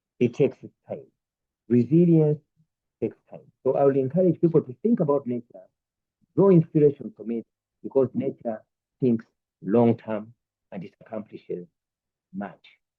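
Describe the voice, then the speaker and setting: Pitched fairly high, a man talks at a moderate pace with lively intonation, big swings in loudness, and long, frequent pauses. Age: 60s. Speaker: entrepreneur. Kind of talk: Q&A answers at a talk.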